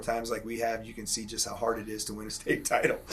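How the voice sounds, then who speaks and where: A man's monotone, flat delivery at a medium pitch and a very fast pace, over noticeable background noise. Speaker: high school wrestling coach. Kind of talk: casual interview. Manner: loud.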